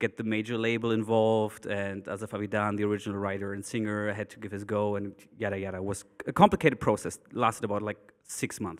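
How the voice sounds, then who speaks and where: In a German accent, a man talks at a fairly quick pace with a fairly low pitch. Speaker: DJ and producer. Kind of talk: panel discussion.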